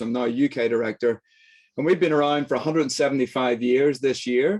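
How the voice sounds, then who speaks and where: This man speaks with a Northern Irish accent. His pace is fairly quick. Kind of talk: lecture. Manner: fast; animated.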